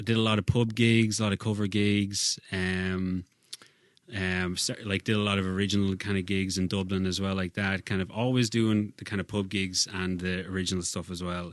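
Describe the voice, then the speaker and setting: With an Irish accent, a man talks at a moderate pace in a fairly low pitch and a monotone, flat intonation. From Ireland, County Kildare. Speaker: singer-songwriter. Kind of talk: casual chat. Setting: studio.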